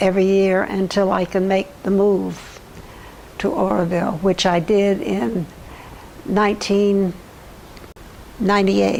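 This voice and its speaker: A woman with an American accent at a medium pitch and very slow pace, with fairly even intonation and noticeable background noise. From US South. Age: 80s+. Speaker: community resident, elderly interviewee. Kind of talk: oral history interview. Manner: halting, many false starts.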